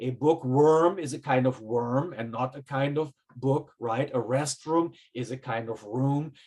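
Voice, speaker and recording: This voice has a German accent and fairly even intonation. The pace is fairly slow. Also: man, medium pitch for a man. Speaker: professor. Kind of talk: lecture.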